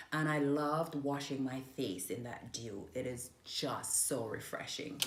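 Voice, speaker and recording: Hardly pausing, the speaker goes at a fairly slow pace with ordinary pitch variation, amid noticeable background noise and audible room echo. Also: woman. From Jamaica (Manchester parish). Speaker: interviewee sharing her life story. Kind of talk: interview.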